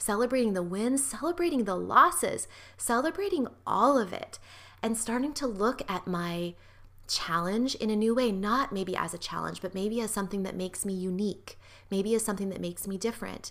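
A woman speaks at a fairly quick pace in an ordinary speaking voice, medium in pitch, with lively intonation. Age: 40s. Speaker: pelvic health physical therapist and podcast host. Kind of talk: solo podcast monologue. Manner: warm, conversational, laughs often.

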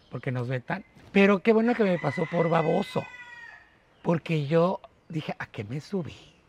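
A man with a high voice and lively intonation speaks at a fairly slow pace with long, frequent pauses, dry and close with no echo, over noticeable background noise. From Mexico, port of Veracruz. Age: 40s. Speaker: port worker and online radio host. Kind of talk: interview conversation.

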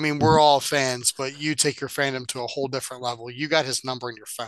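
The pace is fairly quick. The background is quiet. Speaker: wrestling podcast co-host. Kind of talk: casual chat.

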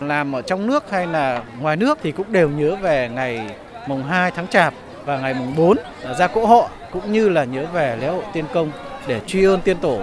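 Crowd noise fills the background as a man speaks at a moderate pace. His pitch is high and his intonation lively. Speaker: local culture official. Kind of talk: interview statement in news report.

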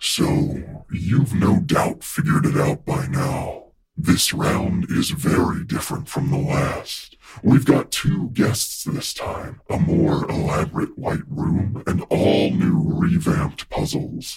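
A man at medium pitch and a fairly slow pace. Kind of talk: smooth game-show host address. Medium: audio drama. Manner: calm, genteel, quietly menacing.

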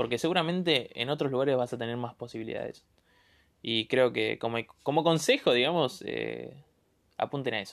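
Speaking at a fairly quick pace, a man with an Argentine accent uses a medium pitch, ordinary pitch variation and vocal fry. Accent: Rioplatense Argentine Spanish. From Buenos Aires southern suburbs, Argentina. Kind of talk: casual monologue. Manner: halting.

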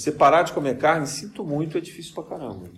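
A man's voice with vocal fry and audible room echo. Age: 50s. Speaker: spiritist lecturer. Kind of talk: lecture. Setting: spiritist center.

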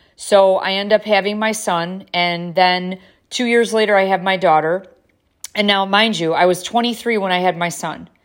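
Using a plain, everyday voice, a woman speaks at a moderate pace and medium pitch with fairly even intonation. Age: 50s. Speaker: podcast host. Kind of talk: personal monologue.

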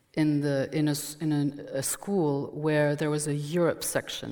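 Speaking in a French accent, a woman talks at a fairly slow pace with a very deep, low pitch. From France, Burgundy. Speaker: journalist and former newspaper editor. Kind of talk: public conversation. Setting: stage with audience.

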